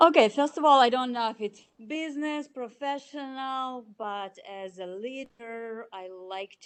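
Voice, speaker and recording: A fairly slow delivery in a Russian accent, full of very wide pitch swings. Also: woman. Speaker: chief financial officer. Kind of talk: interview. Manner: halting.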